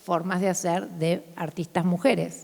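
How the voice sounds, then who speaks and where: Her words come out at a very slow pace. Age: 60s. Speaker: artist. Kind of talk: public conversation. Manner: animated.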